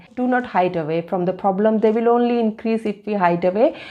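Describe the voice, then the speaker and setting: This woman has a fairly high pitch and a dark, mellow tone, with lively intonation. She keeps a moderate pace against a quiet background. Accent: non-native. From India, Delhi. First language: Hindi. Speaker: vlogger. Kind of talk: personal vlog. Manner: halting.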